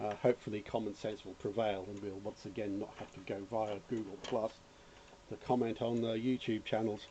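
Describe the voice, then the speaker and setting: With a dark, mellow tone and a fairly low pitch, a man speaks at a moderate pace in a monotone, flat intonation. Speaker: electronics hobbyist YouTuber. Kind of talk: casual rant; tutorial. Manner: rambling, hesitant with fillers.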